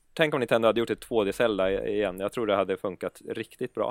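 A plain, everyday voice speaks at a moderate pace with fairly even intonation, in a dry, close sound with no echo on a very clean recording with a silent background. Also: man. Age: 30s. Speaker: gaming YouTuber. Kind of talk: casual chat.

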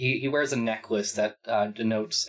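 Someone reads aloud plainly. Nothing more is done than reading the text.

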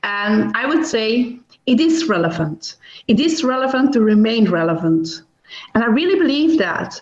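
A woman speaks at a moderate pace in a fairly high voice, her pitch swinging very widely. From Belgium. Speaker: business lawyer. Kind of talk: interview.

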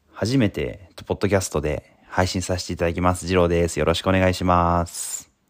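A man with a very deep, low voice talks fairly quickly with hardly any pauses. His intonation is fairly even. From Japan, Mie Prefecture. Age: 20s. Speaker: nurse. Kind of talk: casual solo podcast talk. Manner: halting, many fillers.

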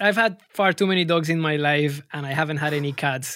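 A man with a Spanish accent talks at a fairly slow pace, his fairly high pitch carrying a bright, sharp tone and fairly even intonation. The recording is very clean, with a silent background. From Colombia. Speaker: music producer and label manager. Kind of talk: interview. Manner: halting.

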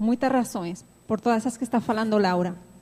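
The voice has a dark, mellow tone. It carries a Spanish accent. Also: woman. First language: Spanish (speaking Portuguese). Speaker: audience member. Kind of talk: audience comment.

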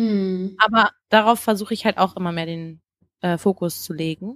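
A woman speaks at a moderate pace in a plain, everyday voice with ordinary pitch variation, on a very clean recording with a silent background and a dry, close sound with no echo. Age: 20s. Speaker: singer and vocal coach. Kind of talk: casual interview.

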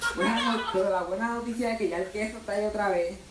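Over noticeable background noise and audible room echo, a man with a Puerto Rican accent speaks at a fairly quick pace. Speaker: comedian. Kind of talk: stand-up.

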